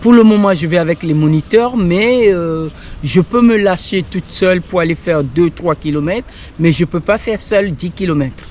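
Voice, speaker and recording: A woman at a moderate pace, fairly low in pitch, with ordinary pitch variation and noticeable background noise. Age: 60s. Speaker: cycling course participant. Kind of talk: interview.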